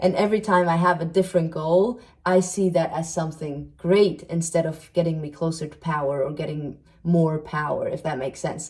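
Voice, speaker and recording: A woman speaks in a fairly low pitch with ordinary pitch variation. Her voice is somewhat breathy. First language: not English (third language). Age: 30s. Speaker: self-help video creator and psychology student. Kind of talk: casual monologue video podcast. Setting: sit-down video recording.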